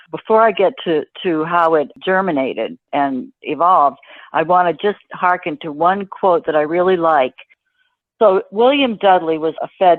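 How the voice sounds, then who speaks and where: A woman with an American accent speaks at a fairly slow pace in a plain, everyday voice, her fairly low pitch carried by lively intonation. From Boston area, Massachusetts. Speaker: financial writer and journalist. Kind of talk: interview answer.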